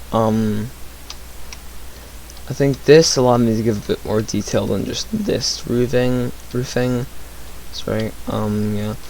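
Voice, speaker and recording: Quiet mumbling from a man, broken by long, frequent pauses, over noticeable background noise. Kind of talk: casual gameplay commentary. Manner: hesitant, many fillers.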